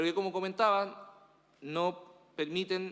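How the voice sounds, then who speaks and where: The man's voice sits at a high pitch. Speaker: municipal official reporting to council. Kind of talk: formal meeting report. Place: meeting room.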